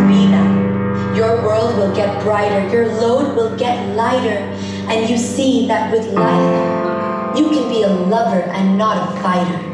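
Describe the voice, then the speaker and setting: A woman at a fairly slow pace, with loud music behind her and audible room echo. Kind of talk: spoken-word poetry performance. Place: stage. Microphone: camera far.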